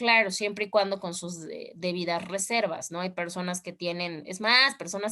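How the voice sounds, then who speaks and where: With a Mexican accent, a woman speaks at a moderate pace with fairly even intonation. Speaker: law teacher. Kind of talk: online class lecture.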